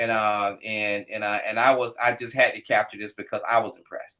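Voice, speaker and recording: With an American accent and a bright, sharp tone, a man speaks at a moderate pace. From US South, Florida (Fort Pierce). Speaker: business owner and motorcycle rider, former English teacher. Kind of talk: casual chat.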